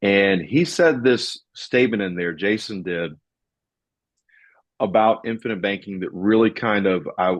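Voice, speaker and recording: Speaking at a fairly slow pace with a Southern US accent, the voice shows ordinary pitch variation and long, frequent pauses over a quiet background. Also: man, fairly low pitch for a man. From US South. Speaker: financial podcast host. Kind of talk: casual discussion.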